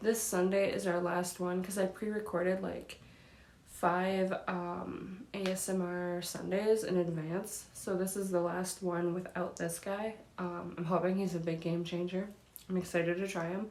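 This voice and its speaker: A soft-spoken woman at medium pitch, monotone and flat, fairly slow, with audible room echo. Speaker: YouTuber. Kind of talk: casual vlog unboxing. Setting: home recording, daytime window light.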